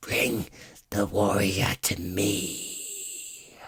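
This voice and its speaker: Using a put-on character voice, a man sounds raspy at a fairly low pitch. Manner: commanding.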